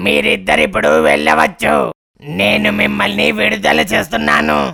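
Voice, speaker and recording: A raspy, cartoonish character voice of a man, very deep and low in pitch, at a fairly slow pace. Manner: commanding, boastful.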